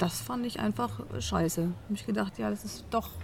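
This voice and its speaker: This woman's voice is very deep and low, with very wide pitch swings. She speaks at a moderate pace. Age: 40s. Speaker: cabaret artist and songwriter. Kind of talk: interview.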